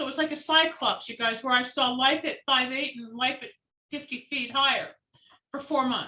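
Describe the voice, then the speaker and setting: A woman projects a raised voice, high in pitch with a bright, sharp tone. Her intonation is fairly even at a moderate pace, though her loudness swings widely. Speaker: psychic. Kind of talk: interview storytelling.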